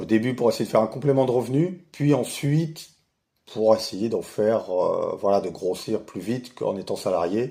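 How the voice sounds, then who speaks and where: In a very clean recording with a silent background, a man talks at a moderate pace in a medium-pitched voice with a dark, mellow tone. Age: 40s. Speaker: retired investor, channel owner. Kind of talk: casual self-introduction monologue. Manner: hesitant, many fillers.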